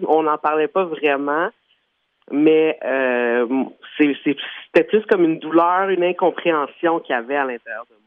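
A man speaks at a fairly slow pace with a normal speaking voice. His pitch is fairly high, with ordinary variation. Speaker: radio host. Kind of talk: interview.

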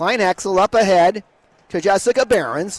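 A man's animated voice, dry and close with no echo, with ordinary pitch variation. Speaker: radio sports play-by-play announcer. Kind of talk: live play-by-play radio commentary, rapid ball-by-ball calls of a girls basketball game; radio broadcast, pregame intro and ads. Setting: courtside at a high school gym, broadcast on local radio.

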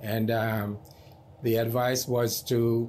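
A man with a Jamaican accent speaks at a very slow pace in a medium pitch. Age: 60s. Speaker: financial client. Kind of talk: interview. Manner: hesitant, with many fillers.

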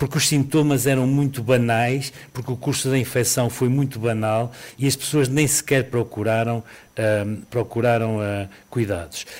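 Using an ordinary speaking voice, a man talks at a medium pitch and a fairly slow pace. His intonation stays fairly even. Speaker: epidemiologist. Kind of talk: expert radio interview. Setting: live remote interview.

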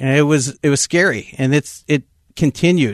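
This is an unremarkable speaking voice. The sound is dry and close, with no echo. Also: man. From Pittsburgh area, Pennsylvania. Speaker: pastor. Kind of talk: testimony.

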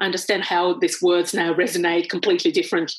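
Her pace is moderate and her pitch varies in an ordinary way as this woman talks in a normal speaking voice. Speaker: author. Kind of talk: reading aloud then interview conversation.

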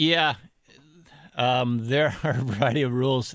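A plain, everyday voice with ordinary pitch variation against a quiet background. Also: man, dry, close sound with no echo. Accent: American. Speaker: recreation safety warden. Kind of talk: radio interview. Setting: studio.

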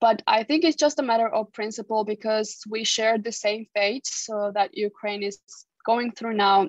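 Fairly high female voice in a Georgian accent, moderate pace, ordinary pitch variation. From Georgia (country). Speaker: consumer policy researcher. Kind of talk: casual chat. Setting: remote call.

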